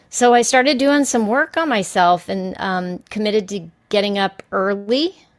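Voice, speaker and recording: A woman with an American accent and a plain, everyday voice speaks at a moderate pace with hardly any pauses. Her pitch is fairly high, and the recording is very clean with a silent background. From Texas, El Paso. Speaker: podcast guest. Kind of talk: casual chat.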